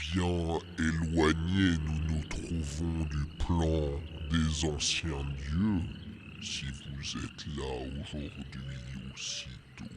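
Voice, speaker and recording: A put-on character voice from a man at a very slow pace, with clear background noise. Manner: solemn.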